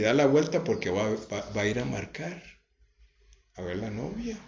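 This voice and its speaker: A man talks at a moderate pace in a Costa Rican accent, his pitch swinging very widely with vocal fry. The room echo is audible. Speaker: religious home broadcaster. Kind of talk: testimony.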